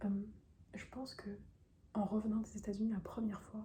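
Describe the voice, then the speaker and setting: Her pitch sits at a medium level for a woman. Noticeable background noise can be heard behind her. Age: 20s. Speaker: YouTuber. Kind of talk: personal vlog confession. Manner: fast; hesitant, many fillers.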